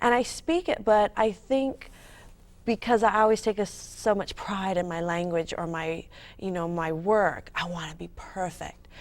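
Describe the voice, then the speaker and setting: On a very clean recording with a silent background, a woman with a Californian accent speaks fairly slowly at medium pitch with ordinary pitch variation. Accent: Californian American English. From California, US. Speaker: author. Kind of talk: interview.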